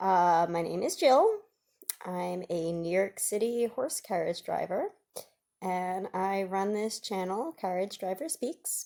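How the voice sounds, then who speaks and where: Very slow speech in a dark, mellow tone with lively intonation. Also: woman, medium pitch for a woman. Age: 30s. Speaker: horse carriage driver and vlogger. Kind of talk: casual vlog monologue. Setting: at home. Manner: hesitant, many fillers.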